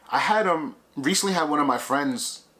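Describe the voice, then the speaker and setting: A man's bright, sharp tone carries lively intonation. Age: 30s. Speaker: vlogger. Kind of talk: casual vlog monologue. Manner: conversational, halting with fillers.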